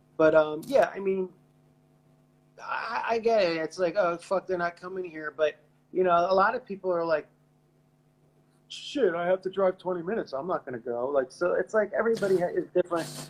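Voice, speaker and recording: A man speaks at a fairly quick pace in a high voice, with ordinary pitch variation and long, frequent pauses. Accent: eastern Pennsylvania. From eastern Pennsylvania. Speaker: rock musician. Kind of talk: casual chat.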